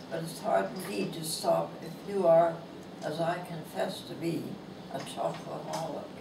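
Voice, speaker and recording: A woman talks at a fairly slow pace, with audible room echo and noticeable background noise around her. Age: 80s+. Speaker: author. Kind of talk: reading aloud. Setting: book signing event.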